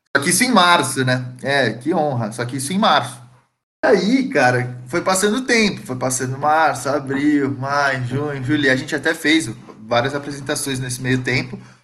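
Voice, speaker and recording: In a room with audible echo, a man with a fairly high pitch and a bright, sharp tone talks at a moderate pace with ordinary pitch variation. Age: 20s. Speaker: musician. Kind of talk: casual chat. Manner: casual slangy.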